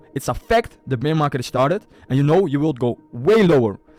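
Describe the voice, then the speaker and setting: Over music in the background, a speaker with a non-native accent talks in an animated tone with lively intonation. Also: man. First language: Dutch. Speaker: crypto investor and YouTuber. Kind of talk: market analysis tutorial with screen share. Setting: screen share. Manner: casual, animated; halting with repetitions.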